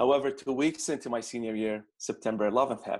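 In a quiet background, a man with an Arabic accent speaks at a moderate pace and medium pitch, with ordinary pitch variation. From Baghdad, Iraq. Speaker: immigrant student consultant. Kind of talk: interview conversation.

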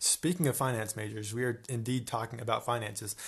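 The man's voice has a bright, sharp tone. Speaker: podcast co-host, college student. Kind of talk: casual chat.

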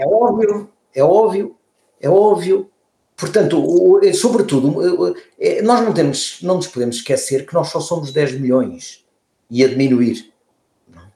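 A man with a high pitch speaks at a fairly slow pace with long, frequent pauses, making very wide pitch swings and big swings in loudness. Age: 60s. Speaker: former politician and environmentalist. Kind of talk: interview conversation. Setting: remote call. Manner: halting, many repeated words.

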